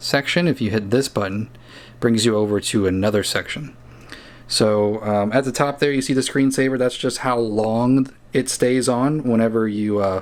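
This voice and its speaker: Here a man talks at medium pitch. His pitch variation is ordinary. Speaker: product reviewer. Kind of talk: product review tutorial. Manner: fast; hesitant with many fillers.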